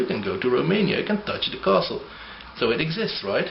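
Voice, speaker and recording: A man speaks at a very fast pace with a non-native accent and very wide pitch swings. There is audible room echo and noticeable background noise. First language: not English. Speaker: atheist video blogger. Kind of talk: argumentative video response.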